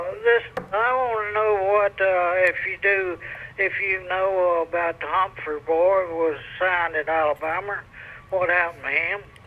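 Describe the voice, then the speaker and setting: At a moderate pace, a man with a Southern US accent talks in a high pitch with fairly even intonation. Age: 80s+. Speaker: caller. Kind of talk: phone-in call. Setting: phone call.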